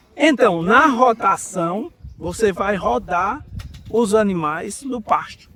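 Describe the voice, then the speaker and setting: Over music in the background, a man talks in a high pitch with lively intonation. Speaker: university professor. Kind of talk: lecture.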